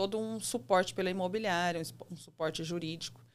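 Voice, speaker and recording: A woman with a São Paulo interior accent, ordinary pitch variation, and a very clean recording with a silent background. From interior of São Paulo state, Brazil. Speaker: real estate agent. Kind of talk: podcast interview. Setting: studio. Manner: hesitant, with many fillers.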